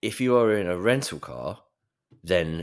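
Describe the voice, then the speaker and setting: A man speaks with a British accent and some vocal fry. His intonation is lively, and the recording is very clean with a silent background. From Britain. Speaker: personal finance journalist. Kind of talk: casual podcast chat. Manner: animated storytelling.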